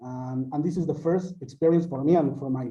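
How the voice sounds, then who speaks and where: A man speaks at a fairly high pitch with a dark, mellow tone and fairly even intonation. The room echo is audible. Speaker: university student. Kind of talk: casual chat. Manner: halting.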